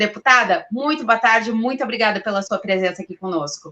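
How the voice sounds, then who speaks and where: A woman speaks in a fairly high pitch at a moderate pace. Her tone is bright and sharp. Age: 40s. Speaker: journalist and show host. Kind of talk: live interview show.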